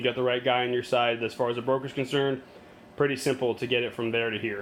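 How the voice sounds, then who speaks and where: Noticeable background noise sits behind the speech. A man talks at a very fast pace. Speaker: hobbyist product reviewer. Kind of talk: casual product walkthrough. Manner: halting, many fillers; casual.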